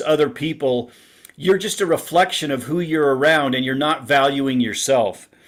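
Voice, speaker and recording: A man with a plain, everyday voice, fairly high in pitch, at a moderate pace with ordinary pitch variation, in a very clean recording with a silent background. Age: 60s. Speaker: relationship author guest. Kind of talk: podcast interview.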